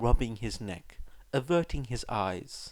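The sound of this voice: At a slow pace, a man with a medium pitch and a slightly mellow tone speaks with lively intonation.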